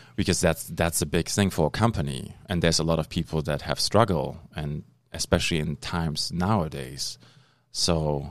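Speaking at a moderate pace, a man with a very deep, low pitch shows vocal fry and ordinary pitch variation. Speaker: podcast host.

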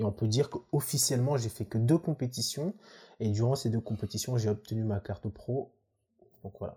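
Medium-pitched male voice, somewhat breathy, with a dark, mellow tone. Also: ordinary pitch variation, moderate pace. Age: 20s. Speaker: professional bodybuilder and student. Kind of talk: casual chat.

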